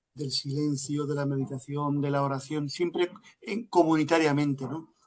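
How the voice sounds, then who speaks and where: A man at a fairly high pitch, fairly slow in pace, with fairly even intonation. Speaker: lecturer, family institute director. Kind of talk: answering audience in Q&A. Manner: hesitant, many fillers.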